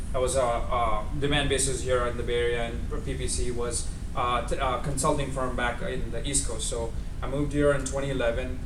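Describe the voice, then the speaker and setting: A man's speech carries audible room echo along with noticeable noise in the background. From India, Mumbai. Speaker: data engineer. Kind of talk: tech talk. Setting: office talk with audience. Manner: loud, projecting; hesitant, many fillers.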